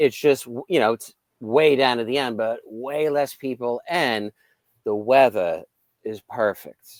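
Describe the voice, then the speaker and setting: Speaking at a fairly slow pace in a New York accent, a man holds a medium pitch with ordinary pitch variation, recorded dry and close with no echo. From New York, Long Island. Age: 40s. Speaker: psychic and UFO contactee, firefighter. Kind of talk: interview.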